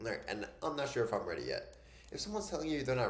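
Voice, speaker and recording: A man talks with audible room echo. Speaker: online business and fitness coaching mentor. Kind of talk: casual YouTube tutorial talk. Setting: home desk. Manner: fast; casual, filler-heavy.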